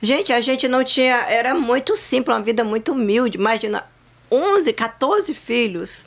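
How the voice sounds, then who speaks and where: Over noticeable background noise, a woman with a high voice talks at a moderate pace with lively intonation and very even loudness. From Brazil, interior of Ceará (Northeast). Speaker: insurance agency owner. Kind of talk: casual chat.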